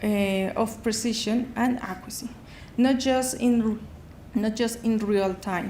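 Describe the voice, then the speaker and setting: A woman's fairly high voice in a Spanish accent, very slow and monotone with flat intonation, amid audible room echo. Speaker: sponsor company representative. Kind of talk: sales pitch. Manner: halting.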